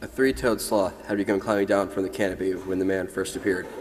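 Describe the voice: What you hear is plain reading aloud.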